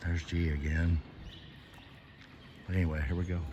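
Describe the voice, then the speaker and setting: Over noticeable background noise and audible room echo, a man talks with an American accent. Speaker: vlogger, former coal miner. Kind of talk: casual vlog narration. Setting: underground cave tour. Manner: whispering; normally loud and talkative.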